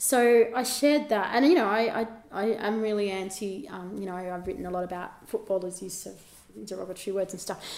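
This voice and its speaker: Noticeable background noise sits behind a woman with an Australian accent. She talks at a fairly quick pace with ordinary pitch variation and big swings in loudness. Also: medium pitch for a woman. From Australia, rural New South Wales (Albury). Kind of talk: casual chat.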